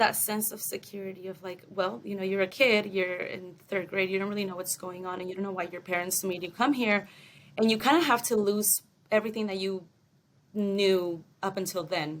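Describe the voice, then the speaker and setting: Speaking with a Spanish accent, a woman keeps a fairly quick pace and fairly even intonation. Her loudness swings widely. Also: medium pitch for a woman. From Mexico, raised partly in Long Beach, California. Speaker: entertainment development assistant. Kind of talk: podcast interview. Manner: casual, hesitant with many fillers.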